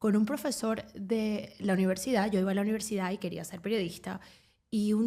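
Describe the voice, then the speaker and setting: Somewhat breathy, a woman talks at a fairly quick pace with a fairly high pitch and a dark, mellow tone. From Venezuela. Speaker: sports journalist. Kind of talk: casual interview chat.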